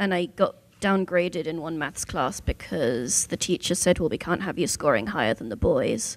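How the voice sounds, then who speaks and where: In a very clean recording with a silent background, a woman with a southern English accent speaks at a moderate pace, her fairly low pitch showing vocal fry and very wide pitch swings. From southern England, Southampton. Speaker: Torah scribe. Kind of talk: panel discussion.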